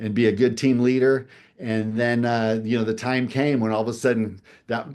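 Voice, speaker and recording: Over a quiet background, a man with an ordinary speaking voice talks at a medium pitch and a fairly quick pace, with fairly even intonation. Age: 60s. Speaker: game show contestant. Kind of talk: interview.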